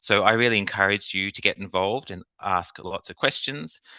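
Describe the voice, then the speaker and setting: An Australian man with a fairly low pitch talks at a fairly quick pace with ordinary pitch variation. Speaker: government official, task force chair. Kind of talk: formal meeting opening. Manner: hesitant with fillers.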